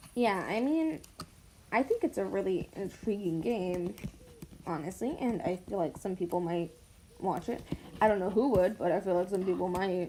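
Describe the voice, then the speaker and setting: At a moderate pace, a woman speaks at medium pitch with ordinary pitch variation and long, frequent pauses. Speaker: gaming youtuber. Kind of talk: game commentary reading aloud. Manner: loud. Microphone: not using a microphone, built-in mic.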